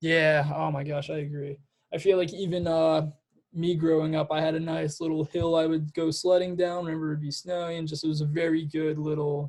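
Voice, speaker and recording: At a fairly quick pace, someone with an American accent speaks in a monotone, flat intonation. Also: man, fairly high pitch for a man. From New Jersey. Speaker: student interviewer. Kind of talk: interview. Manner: halting.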